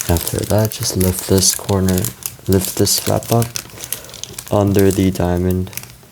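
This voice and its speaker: With long, frequent pauses, the talking proceeds fairly slowly against noticeable background noise. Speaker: origami tutorial creator. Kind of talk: tutorial. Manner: casual, self-correcting.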